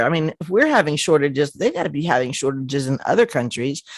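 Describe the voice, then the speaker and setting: A woman with a Southern US accent at a very fast pace. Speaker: podcast host. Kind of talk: casual conversation.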